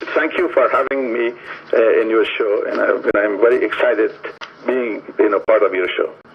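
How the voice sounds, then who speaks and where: A man is talking at a moderate pace. Behind him, noticeable background noise is audible. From Afghanistan. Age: 60s. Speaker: author and Afghanistan expert. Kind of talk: radio interview. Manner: halting, many fillers.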